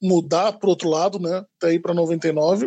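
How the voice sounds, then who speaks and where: A man at a moderate pace, in a dry, close sound with no echo. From Brazil, Sorocaba (São Paulo state). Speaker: in-house lawyer. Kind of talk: casual interview. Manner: informal, clear; hesitant, repeats words.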